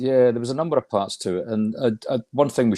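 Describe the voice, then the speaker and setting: Lively in intonation, a man speaks fairly quickly in a Scottish accent. The sound is dry and close with no echo, on a very clean recording with a silent background. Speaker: regional football association chair. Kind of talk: interview.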